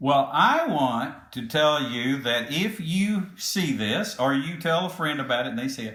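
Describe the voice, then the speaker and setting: Speaking with an American accent, a man uses a fairly high pitch and lively intonation at a fairly slow pace with hardly any pauses, and audible room echo can be heard. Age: 70s. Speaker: podcast host, company CEO. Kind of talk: casual podcast chat.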